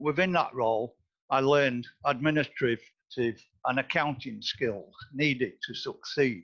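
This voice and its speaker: Fairly slow speech from a man, fairly high in pitch, its pitch varying in an ordinary way. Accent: Lincolnshire. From northern Lincolnshire, England. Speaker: board candidate, retired osteopath. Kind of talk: interview. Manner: formal.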